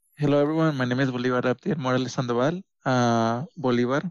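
Fast, fairly even speech in a clear, smooth tone, with a dry, close sound and no echo. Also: man, medium pitch for a man.

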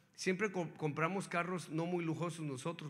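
Audible room echo hangs around the speech. A man delivers it at a fairly quick pace. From northern Mexico, Hermosillo, Sonora. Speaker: guest preacher. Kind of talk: sermon. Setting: church. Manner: animated.

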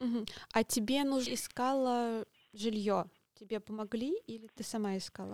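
A woman with a fairly high pitch and fairly even intonation speaks at a moderate pace with long, frequent pauses, in a dry, close sound with no echo. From Russia. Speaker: podcast host. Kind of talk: interview; scripted intro.

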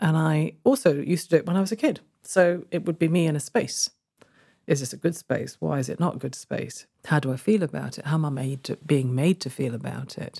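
A woman speaks at a fairly quick pace in a very deep, low pitch, with vocal fry, a dark, mellow tone and ordinary pitch variation. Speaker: coach and consultant. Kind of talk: casual interview conversation.

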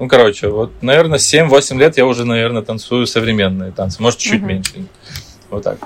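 Music plays in the background as a man speaks at a fairly quick pace. His pitch is medium, with ordinary variation. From Ukraine, Kyiv. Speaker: dancer and choreographer. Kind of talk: interview.

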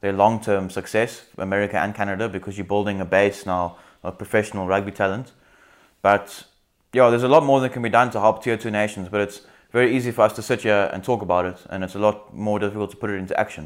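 On a very clean recording with a silent background, a man with a fairly low pitch speaks very fast with fairly even intonation. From South Africa. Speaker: rugby podcast co-host. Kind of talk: casual chat.

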